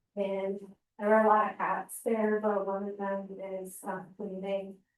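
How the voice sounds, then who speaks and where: In a soft-spoken voice, the speaker goes at a fairly slow pace with monotone, flat intonation. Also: woman. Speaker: state water infrastructure engineer. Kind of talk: presentation.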